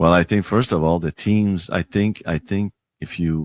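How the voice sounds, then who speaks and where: Speaking with a Quebec accent, a man with fairly low pitch and ordinary pitch variation goes at a fairly slow pace in a dry, close sound with no echo. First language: French. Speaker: hockey league commissioner. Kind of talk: interview. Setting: studio. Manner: halting, many fillers and repeats.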